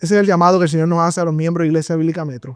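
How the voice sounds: A man speaks at a very fast pace with a clear, smooth tone and fairly even intonation. His pitch sits fairly high.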